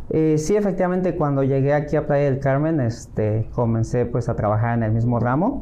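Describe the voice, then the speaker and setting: A man speaks with hardly any pauses and very even loudness. Pitch variation is ordinary, and there is audible room echo. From Mexico, Acapulco, Guerrero. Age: 40s. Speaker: real estate agent. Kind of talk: interview. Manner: hesitant, many fillers.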